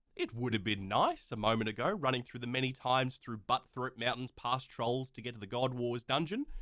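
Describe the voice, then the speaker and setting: A man speaks with an Australian accent. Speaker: gaming YouTuber. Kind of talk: gameplay commentary voice-over.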